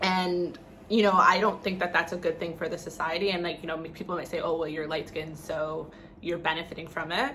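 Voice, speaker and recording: Against noticeable background noise and audible room echo, a woman talks at a fairly quick pace, her fairly low pitch held in fairly even intonation. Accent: Canadian. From Canada. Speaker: vlogger. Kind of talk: casual vlog talk.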